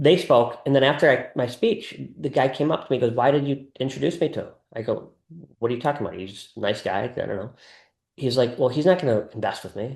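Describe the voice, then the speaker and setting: The man's pitch sits in the medium range and his voice is somewhat breathy. He speaks at a very fast pace. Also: ordinary pitch variation. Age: 60s. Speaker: wealth advisor to family offices. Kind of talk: interview conversation. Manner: halting, self-correcting.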